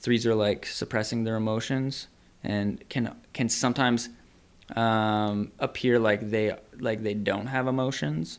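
In a Canadian accent, a normal speaking voice moves at a fairly slow pace with fairly even intonation. The recording is very clean, with a silent background. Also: man, medium pitch for a man. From Ontario, Canada. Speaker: psychotherapist. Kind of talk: casual chat.

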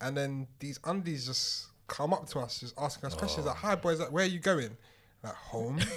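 With a London accent, a man talks at a moderate pace in a fairly high pitch with lively intonation. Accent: London multicultural English. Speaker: podcast co-host. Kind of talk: casual chat.

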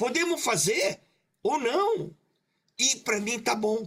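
Very wide swings in pitch from a man speaking in a raised, projected voice. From Brazil, Maringá (Paraná), Japanese-Brazilian community. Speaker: creative director. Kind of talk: casual chat. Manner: halting; loud.

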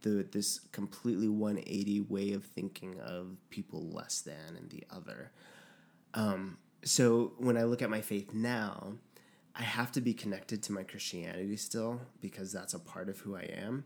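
Speaking in an unremarkable speaking voice with an American accent, a man goes at a fairly slow pace, fairly low in pitch with ordinary pitch variation. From New Mexico, US. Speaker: podcast guest. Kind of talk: casual chat.

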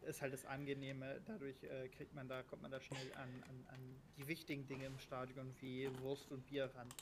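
Speaking at a medium pitch, a man keeps his intonation flat and monotone. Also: moderate pace. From Berlin, Germany. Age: 20s. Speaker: football fan guest. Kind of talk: casual chat. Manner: halting, many fillers.

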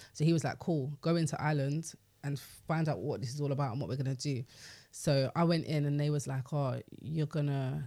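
Speaking fairly quickly in a London accent, a man with a fairly high pitch has a dark, mellow, somewhat breathy tone on a very clean recording with a silent background. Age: 30s. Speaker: radio DJ and record label executive. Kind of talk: casual interview chat. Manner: animated.

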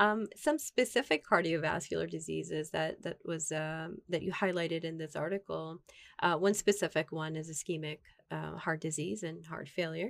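With vocal fry and a fairly low pitch, a woman talks at a moderate pace using ordinary pitch variation. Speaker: podcast co-host interviewer. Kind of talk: interview, hosting.

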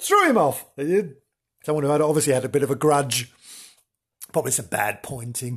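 A somewhat breathy man, fairly high in pitch, talking at a fairly quick pace with long, frequent pauses. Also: ordinary pitch variation. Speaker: podcast host. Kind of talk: casual chat. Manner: animated; chatty, jokey.

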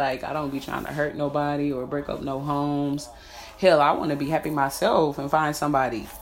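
A woman speaks with a very deep, low pitch. Noticeable background noise and audible room echo are present. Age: 30s. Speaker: podcaster. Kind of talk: casual monologue. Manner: animated.

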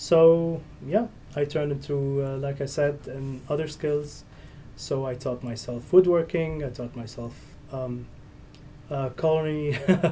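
This man speaks in a non-native accent with a fairly high pitch, a somewhat breathy, dark, mellow tone, fairly even intonation, and long, frequent pauses. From Syria. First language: Arabic. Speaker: entrepreneur. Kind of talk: interview. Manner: halting.

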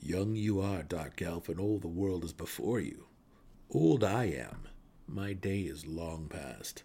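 A man puts on a character voice, growling at a very deep, low pitch. His pace is fairly slow. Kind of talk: archaic, inverted syntax.

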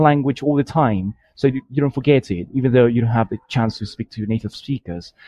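A man in a British accent, with a dry, close sound and no echo. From Colombia. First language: Spanish. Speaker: language learner. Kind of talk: recorded listener message. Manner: hesitant, many fillers.

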